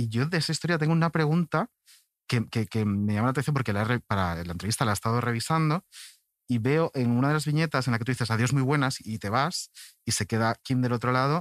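Very fast speech with lively intonation comes through a dry, close sound with no echo against a quiet background. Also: man, medium pitch for a man. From Galicia, Spain (Pontevedra). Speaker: podcast host. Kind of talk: casual chat.

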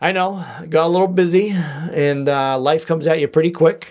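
With a Boston accent, a man speaks. His pace is moderate. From US Northeast, Boston area. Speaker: podcast host. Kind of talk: casual solo podcast monologue. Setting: home studio with microphone. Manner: jokey, rambling.

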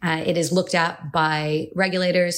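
Recorded very cleanly against a silent background, a woman with a fairly low pitch speaks in a flat monotone at a fairly slow pace. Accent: Californian. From California. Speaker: cybersecurity lawyer. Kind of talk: professional podcast discussion.

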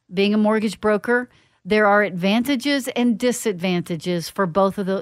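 On a very clean recording with a silent background, a woman with an ordinary speaking voice talks at a moderate pace with ordinary pitch variation. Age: 50s. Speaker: financial planner and radio host. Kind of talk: radio show monologue, educational. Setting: radio studio.

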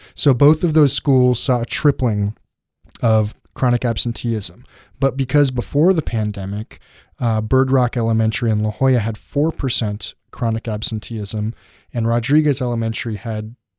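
A man speaks in a plain, everyday voice at a medium pitch, with ordinary pitch variation and a moderate pace. The recording is very clean, with a silent background. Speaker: education reporter. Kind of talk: casual podcast chat.

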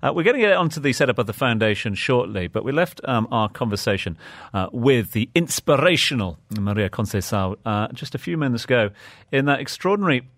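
On a very clean recording with a silent background, a man with an unremarkable speaking voice talks at a fairly quick pace and medium pitch, his intonation lively. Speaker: radio interviewer. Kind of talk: interview. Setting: radio studio.

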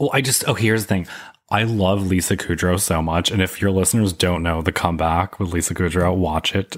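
A man with a very deep, low voice and an American accent talks at a fairly quick pace with ordinary pitch variation and very even loudness, in a very clean recording with a silent background. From upstate New York. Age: 30s. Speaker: podcaster. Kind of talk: casual chat.

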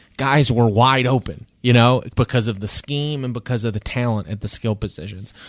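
A man talks at a moderate pace with hardly any pauses and ordinary pitch variation, an ordinary speaking voice. The recording is very clean, with a silent background. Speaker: sports columnist and podcast host. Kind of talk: casual sports talk podcast. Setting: podcast studio. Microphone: real studio microphone.

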